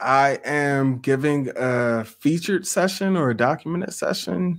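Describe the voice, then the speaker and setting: A man talks at a fairly high pitch with ordinary pitch variation. The recording is very clean, with a silent background. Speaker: school psychologist and podcast host. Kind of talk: casual interview chat. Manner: animated.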